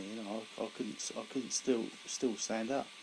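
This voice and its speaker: This man has a southern English accent and a medium pitch. His intonation is monotone and flat. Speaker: stroke survivor. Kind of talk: personal testimony. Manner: slow, laboured speech; halting, with repetitions.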